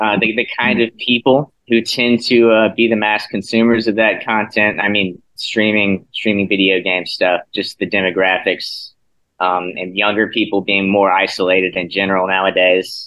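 In an American accent, a man speaks at a moderate pace with a fairly low pitch and monotone, flat intonation. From South Carolina. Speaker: graduate student. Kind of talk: casual chat.

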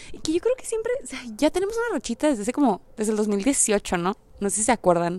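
In a Mexican accent, a woman talks at a very fast pace with a fairly high pitch and an animated tone. Her pitch swings very widely, and the sound is dry and close with no echo. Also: big swings in loudness. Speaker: podcaster. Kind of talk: casual monologue. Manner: direct.

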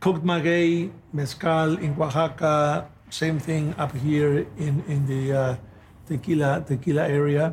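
A somewhat breathy man talks at a fairly slow pace, his pitch fairly high and his intonation fairly even. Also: very even loudness. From Mexico, Guadalajara. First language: Spanish. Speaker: tequila brand ambassador. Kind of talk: interview. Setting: at a distillery.

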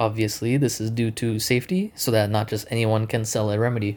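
On a very clean recording with a silent background, a medium-pitched man talks at a fairly quick pace. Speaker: student presenter. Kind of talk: scripted presentation. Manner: hesitant, many fillers.

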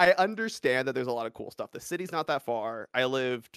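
A man with an American accent talks at a very fast pace and a medium pitch. The recording is very clean, with a silent background and a dry, close sound with no echo. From US West Coast, Los Angeles suburbs. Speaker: speedrunner and streamer. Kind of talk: casual interview.

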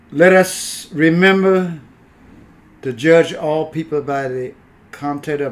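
The pitch variation is ordinary. Noticeable background noise sits behind the voice. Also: man. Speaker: podcast host. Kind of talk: casual chat. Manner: halting, repeats words.

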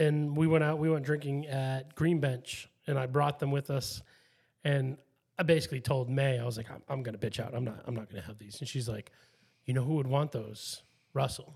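A somewhat breathy man at medium pitch, fairly quick, with ordinary pitch variation and big swings in loudness, on a very clean recording with a silent background. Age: 30s. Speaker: podcast host. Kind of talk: casual chat.

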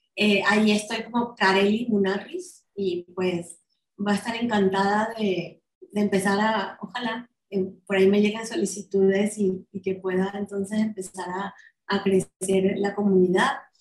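A woman's somewhat breathy voice at medium pitch, fairly slow and monotone, with flat intonation. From Venezuela. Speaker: marketing executive. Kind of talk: interview conversation.

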